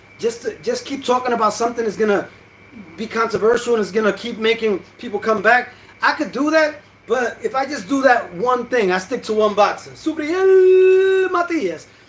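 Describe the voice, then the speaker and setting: Extremely high male voice, animated tone and very wide pitch swings at a moderate pace, over noticeable background noise. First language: Spanish. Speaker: boxing YouTuber. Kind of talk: casual vlog commentary. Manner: animated, hesitant with fillers.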